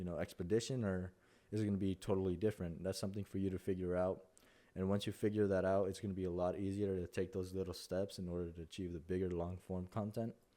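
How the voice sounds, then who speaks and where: A man with a Spanish accent speaks at a very deep, low pitch. His intonation is monotone and flat, and his pace is very fast. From Mexico. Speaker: content creator. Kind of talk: tutorial. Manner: halting.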